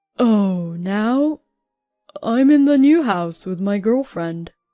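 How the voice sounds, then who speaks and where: A put-on character voice from a woman, medium in pitch with very wide pitch swings, at a very slow pace. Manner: casual, nonchalant.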